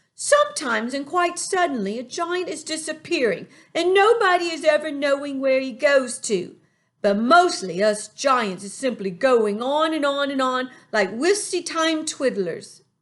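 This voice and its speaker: A man puts on a playful character voice at an extremely high pitch. He speaks at a moderate pace over a quiet background. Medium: read story. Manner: ungrammatical, playful word-mangling.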